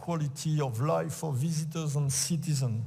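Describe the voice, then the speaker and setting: A dark, mellow, somewhat breathy voice with a French accent, at a moderate pace, with audible room echo. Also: man. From France. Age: old. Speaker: sports official and event organizer. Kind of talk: conference talk. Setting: auditorium with audience. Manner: halting, many fillers.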